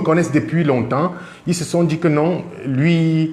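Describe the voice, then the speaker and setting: Fairly high male speech, with audible room echo and noticeable background noise. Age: 40s. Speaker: car dealer. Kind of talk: testimony. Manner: halting.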